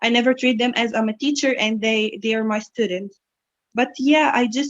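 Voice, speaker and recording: With an Egyptian accent, a woman talks in a fairly high pitch. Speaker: English instructor and student. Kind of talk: interview.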